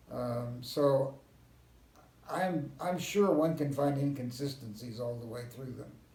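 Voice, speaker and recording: In an American accent, a man talks with big swings in loudness and ordinary pitch variation, and audible room echo surrounds him. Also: medium pitch for a man. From US West (Southern California and Kansas). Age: 80s+. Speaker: historian. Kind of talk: interview.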